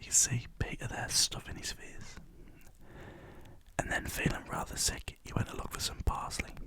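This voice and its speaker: A man whispers at a moderate pace, leaving long, frequent pauses, against noticeable background noise. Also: big swings in loudness. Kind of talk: ASMR storybook reading. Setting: studio. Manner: casual, stumbling, not fluent.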